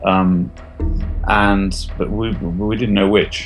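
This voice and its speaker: Music plays in the background as a man speaks in a fairly low pitch with fairly even intonation. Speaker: artist and theatre maker. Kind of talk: interview answer.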